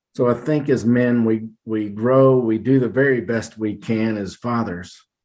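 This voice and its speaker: Against a quiet background, a man talks at medium pitch with fairly even intonation. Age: 60s. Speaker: retired school administrator. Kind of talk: podcast interview. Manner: reflective, with filler hesitations.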